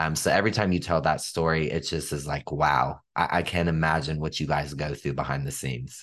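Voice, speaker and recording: With vocal fry and a very deep, low pitch, a man talks at a fairly quick pace with hardly any pauses over a quiet background. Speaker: podcast host. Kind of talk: casual interview. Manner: enthusiastic.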